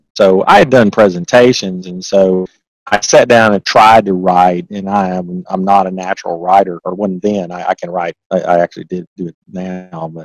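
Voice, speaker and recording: A man with a very deep, low pitch, monotone, flat intonation, big swings in loudness, a moderate pace, hardly any pauses, and a dry, close sound with no echo. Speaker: accountant and author. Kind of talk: interview. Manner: halting, many repeated words.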